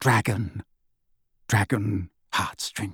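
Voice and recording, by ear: A man puts on a character voice, quiet and hoarse with a husky, rough edge. He talks at a very slow pace with vocal fry. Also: fairly low pitch for a man, fairly even intonation, dry, close sound with no echo, fairly bright tone, very clean recording, silent background.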